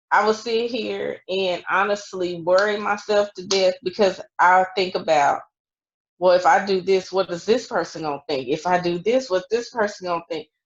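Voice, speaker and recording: At a moderate pace, a woman speaks in an unremarkable speaking voice of medium pitch, with ordinary pitch variation. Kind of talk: casual chat.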